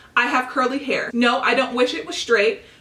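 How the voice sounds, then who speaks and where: A woman's high-pitched, raised and projected voice over noticeable background noise. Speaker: beauty vlogger. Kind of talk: casual vlog haul. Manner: very fast.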